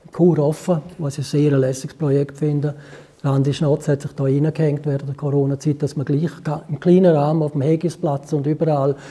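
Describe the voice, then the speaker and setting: This man talks at a fairly quick pace. His pitch sits fairly high, with monotone, flat intonation. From Switzerland, Graubünden (Chur). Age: 70s. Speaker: musician. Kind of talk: interview. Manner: hesitant.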